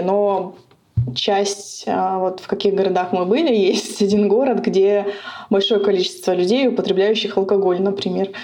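Amid audible room echo, a woman speaks at medium pitch and a fairly slow pace in a dark, mellow tone with ordinary pitch variation. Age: 30s. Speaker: cardiologist. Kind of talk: interview. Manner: halting, with fillers.

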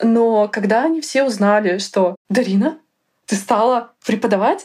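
A woman's normal speaking voice, fairly high-pitched, with lively intonation on a very clean recording against a silent background. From Russia, Yaroslavl. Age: 30s. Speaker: tutor. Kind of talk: interview. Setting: studio.

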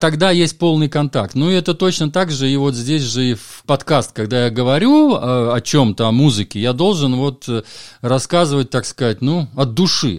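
A man with a normal speaking voice and fairly high pitch talks at a moderate pace with lively intonation. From Latvia, Valka on the Estonian border. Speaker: jazz music critic and DJ. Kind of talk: interview conversation.

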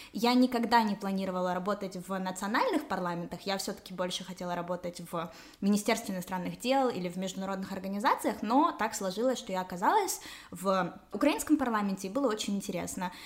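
A woman, very fast, at a medium pitch with ordinary pitch variation, over noticeable background noise. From Ukraine, Kyiv. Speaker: parliamentary assistant and blogger. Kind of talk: explanatory interview.

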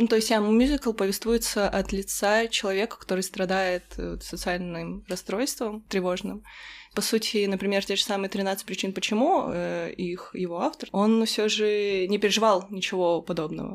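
This is a woman with a plain, everyday voice. She speaks at a moderate pace in a medium pitch, with fairly even intonation. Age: 20s. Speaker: fan community admin. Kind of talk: casual chat.

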